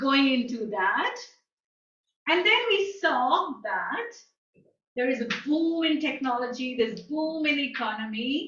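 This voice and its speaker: A woman with a high pitch speaks at a very slow pace amid audible room echo. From India, New Delhi. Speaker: guest lecturer. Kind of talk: lecture.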